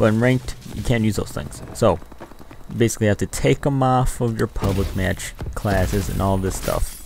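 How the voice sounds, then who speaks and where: At a moderate pace, the speaker uses an animated tone and lively intonation over noticeable background noise. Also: man, fairly low pitch for a man. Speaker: gaming youtuber. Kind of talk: angry gaming rant over gameplay footage, complaining about ranked play. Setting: screen-recorded gameplay commentary. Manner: animated, irritated, complaining; casual, chatty, addressing viewers.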